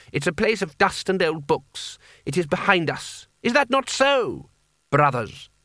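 Using a put-on character voice, a man speaks high in pitch with big pitch swings. The tone is bright and sharp, and the pace is fairly slow.

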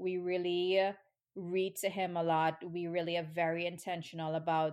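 Here a woman speaks with an American accent at a fairly low pitch. Her intonation is monotone and flat. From Trinidad. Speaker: women's rights organizer. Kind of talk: interview conversation.

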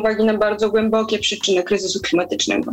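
A woman talks in monotone, flat intonation at a fairly high pitch. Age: 20s. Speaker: climate activist. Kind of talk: interview.

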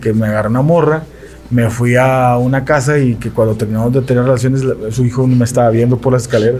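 Against noticeable background noise, a man talks at a very fast pace in a monotone, flat intonation. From Monterrey, Mexico. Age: 40s. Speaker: radio sports commentator. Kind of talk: casual chat.

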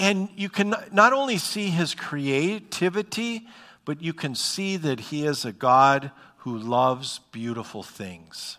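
A man with an Upper Midwest accent, fairly high-pitched, bright and sharp in tone, with very wide pitch swings and a fairly slow pace. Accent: Upper Midwest American. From North Dakota, Bismarck. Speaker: pastor. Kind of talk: sermon. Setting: church. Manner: halting, many fillers.

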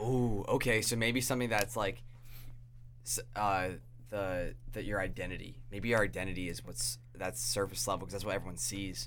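A man with an American accent speaks at a fairly low pitch and moderate pace, with vocal fry and very wide pitch swings. Audible room echo surrounds his voice. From New York (upstate). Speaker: podcast host. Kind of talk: casual chat.

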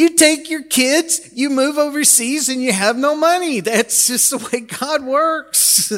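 A man speaks at a fairly slow pace with an extremely high pitch and ordinary pitch variation, over noticeable background noise. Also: hardly any pauses. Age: 60s. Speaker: pastor. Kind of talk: sermon.

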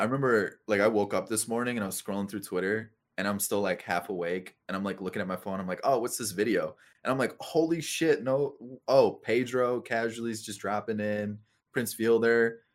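A man's medium-pitched, normal speaking voice at a fairly quick pace, with ordinary pitch variation. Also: very clean recording, silent background. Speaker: gaming content creator. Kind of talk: casual chat.

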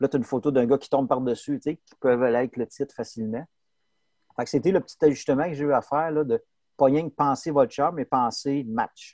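In an ordinary speaking voice, a man talks fairly quickly at a fairly high pitch with ordinary pitch variation and big swings in loudness, the sound dry and close with no echo. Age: 40s. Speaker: sports photographer. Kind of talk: interview.

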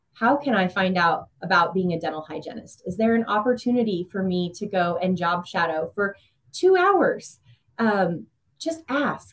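A woman speaks at a moderate pace in a Midwestern American accent. Her medium-pitched voice is somewhat breathy. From Kansas, Emporia. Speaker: community relations manager. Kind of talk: interview.

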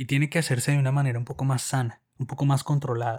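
Over a silent background in a very clean recording, a man uses a normal speaking voice with fairly even intonation. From Colombia. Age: 30s. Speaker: podcast co-host. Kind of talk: casual chat.

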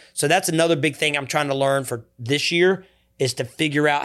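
A fairly high-pitched man with a Southern US accent talks at a fairly quick pace on a very clean recording with a silent background. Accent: Southern US (Georgia). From US South, Georgia (Coweta County). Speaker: youth nonprofit founder. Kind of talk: interview. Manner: energetic.

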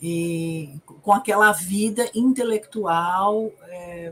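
Over noticeable background noise, a woman talks at a very slow pace with a medium pitch. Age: 50s. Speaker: psychotherapist. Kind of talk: casual film discussion livestream.

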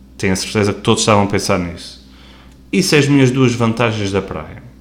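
Audible room echo surrounds a man's voice. He speaks at a fairly low pitch with ordinary pitch variation. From Azores, Terceira island. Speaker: podcast host. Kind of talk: casual solo monologue. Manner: casual, slightly halting.

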